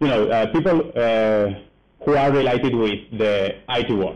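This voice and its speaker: A man with a strong Spanish accent, at a moderate pace, with ordinary pitch variation. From Spain. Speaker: developer advocate. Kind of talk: conference talk. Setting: stage at a meetup with audience. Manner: halting, many fillers.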